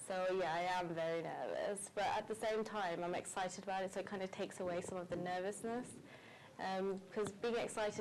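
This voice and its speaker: With a slight West Midlands accent, a woman speaks fairly quickly at a medium pitch, her intonation fairly even. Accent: slight Wolverhampton. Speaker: beauty pageant contestant. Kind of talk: interview.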